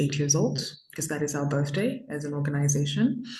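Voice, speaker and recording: A woman with a Zimbabwean accent speaks at a very deep, low pitch, somewhat breathy. Her pitch varies in an ordinary way amid audible room echo. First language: Shona. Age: 20s. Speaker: youth activist. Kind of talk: interview. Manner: hesitant, many fillers.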